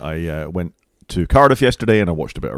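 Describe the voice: Speaking fast, a man uses lively intonation at a low pitch with a slightly mellow tone.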